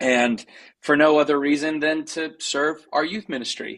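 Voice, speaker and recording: A man's voice in an American accent at a moderate pace. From US, North Idaho (Coeur d'Alene). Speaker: worship leader and songwriter. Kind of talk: interview. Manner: casual, with fillers.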